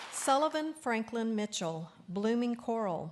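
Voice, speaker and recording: A woman with a Texas accent, against a quiet background. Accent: Texas twang. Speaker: awards ceremony announcer. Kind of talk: reading aloud. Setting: auditorium ceremony. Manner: formal.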